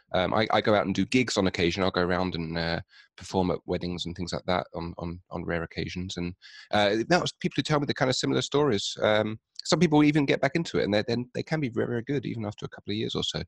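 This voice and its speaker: Very fast and with very wide pitch swings, a man with a London accent and a fairly low pitch talks in a dry, close sound with no echo against a quiet background. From London, England. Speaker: app developer and magician. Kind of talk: podcast interview. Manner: hesitant, many fillers.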